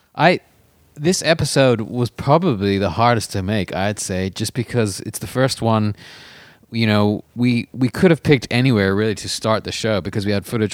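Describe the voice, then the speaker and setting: On a very clean recording with a silent background, a man with an ordinary speaking voice talks at a moderate pace, his pitch fairly low with ordinary variation. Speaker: podcast host and touring musician. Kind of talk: casual chat.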